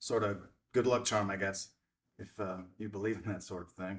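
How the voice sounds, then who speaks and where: A man's put-on character voice, raspy and fairly low-pitched, monotone and flat, at a moderate pace. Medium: stage play. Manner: hesitant, stammering.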